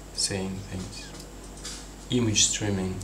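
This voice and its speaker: Through noticeable background noise and audible room echo, a man with a non-native accent speaks in a very deep, low pitch. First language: not English. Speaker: vlogger. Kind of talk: free-flowing personal monologue. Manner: halting, with frequent repetitions.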